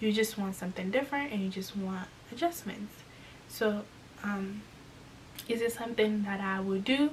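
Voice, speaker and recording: Noticeable background noise sits behind a woman talking at a moderate pace. She leaves long, frequent pauses. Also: medium pitch for a woman, ordinary pitch variation. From Congo. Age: 20s. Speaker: lifestyle YouTuber. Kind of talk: casual talk to camera.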